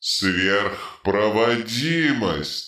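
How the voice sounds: A man uses a put-on character voice with a bright, sharp tone and fairly low pitch. He talks at a very slow pace with lively intonation.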